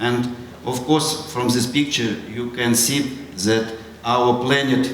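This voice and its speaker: At a very slow pace, a man speaks at a medium pitch with fairly even intonation, with audible room echo and noticeable background noise. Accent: Russian. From Russia. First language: Russian. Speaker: astronaut. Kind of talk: school presentation. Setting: school audience. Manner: halting.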